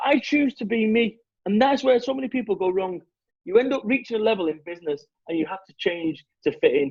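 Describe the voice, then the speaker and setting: Speaking very fast in a Mancunian accent, a man uses an extremely high pitch, very wide pitch swings and an animated tone. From Salford, Manchester, northern England. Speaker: motivational business speaker. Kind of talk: podcast interview. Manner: animated, emphatic.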